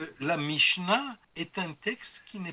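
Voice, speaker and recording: A man with a high voice speaks very slowly and with lively intonation over noticeable background noise. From France. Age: 70s. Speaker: historian of religions, professor emeritus. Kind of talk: interview.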